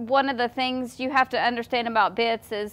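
Speech comes at a fairly slow pace with fairly even intonation. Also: woman. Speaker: horse trainer. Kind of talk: casual explanatory talk. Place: farm machine.

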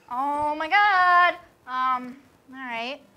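A woman is doing the talking. Noticeable background noise can be heard throughout. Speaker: co-host. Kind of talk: casual comedic chat.

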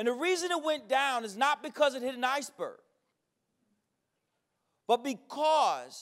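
A man speaks at an extremely high pitch in an energetic tone. He goes at a fairly slow pace over a quiet background. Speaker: educator and keynote speaker. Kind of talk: conference keynote speech to a live audience. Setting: live event with audience. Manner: charismatic, humorous, blunt, energetic. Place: hall. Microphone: handheld.

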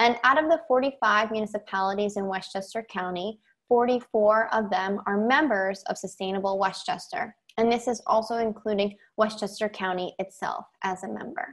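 Against a quiet background, a woman talks at a moderate pace. Her pitch varies in an ordinary way. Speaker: presenter. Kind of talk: presentation. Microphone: video call.

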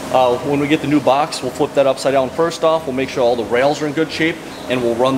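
A man speaks with fairly even intonation. Noticeable background noise can be heard. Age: 30s. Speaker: auto body shop worker. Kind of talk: shop tour explanation. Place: garage. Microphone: camera far.

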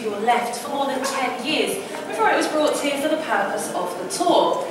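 A woman speaking at a fairly quick pace, ordinary pitch variation, strong room echo and noticeable background noise. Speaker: tour guide. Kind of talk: guided tour commentary. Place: hall. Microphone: camera far.

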